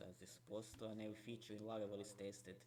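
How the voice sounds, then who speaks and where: This man talks at a fairly quick pace. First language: not English. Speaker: software developer streamer. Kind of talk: live coding stream tutorial. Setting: late night live stream. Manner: halting, many fillers.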